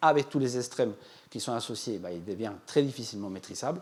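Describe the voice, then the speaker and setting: A man with a non-native accent, talking at a fairly quick pace with lively intonation. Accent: foreign accent in French. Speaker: agricultural climate scientist. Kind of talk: public lecture. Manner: hesitant, with fillers.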